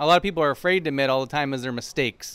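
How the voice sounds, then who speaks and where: This man's voice sits at a fairly high pitch. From Windsor, Ontario, Canada. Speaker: restaurant owner. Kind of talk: casual interview chat. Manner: hesitant, filler-heavy.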